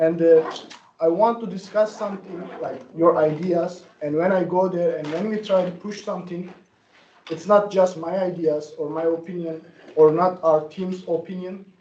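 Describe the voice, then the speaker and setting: In a non-native accent, a man speaks with a high pitch and fairly even intonation. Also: moderate pace. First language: not English. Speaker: student senator. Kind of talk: meeting discussion.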